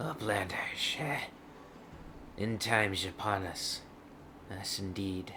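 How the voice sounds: A man puts on a wheezy, fairly low character voice, speaking at a fairly slow pace with long, frequent pauses over clear background noise.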